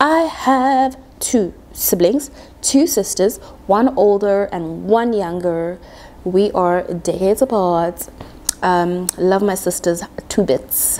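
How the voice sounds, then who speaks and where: A woman speaks at a medium pitch. Her voice swings very widely up and down. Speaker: quantity surveyor, YouTuber. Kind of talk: casual talk to camera. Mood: playful, expressive. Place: home room. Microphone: lapel.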